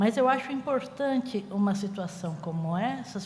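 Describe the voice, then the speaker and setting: Audible room echo and noticeable background noise fill the recording. A woman talks at a medium pitch and a fairly slow pace. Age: 60s. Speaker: music researcher. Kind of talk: panel talk.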